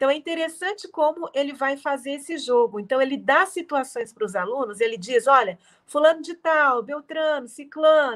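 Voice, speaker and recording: With lively intonation, a woman speaks in a high voice at a moderate pace. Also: hardly any pauses. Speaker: literature professor. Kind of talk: lecture. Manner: soothing.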